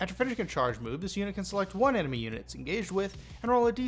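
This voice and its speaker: Over music in the background, a man talks at a very fast pace in a high voice with very wide pitch swings. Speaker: tabletop gaming youtuber. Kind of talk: scripted narration. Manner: casual.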